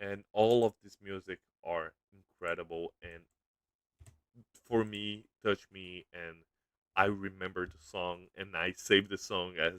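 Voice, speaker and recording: A man with a Brazilian accent speaks at a very deep, low pitch in a monotone, flat way. His delivery is very slow, with big swings in loudness and long, frequent pauses. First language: Portuguese. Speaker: YouTuber. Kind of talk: casual livestream commentary. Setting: livestream. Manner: halting.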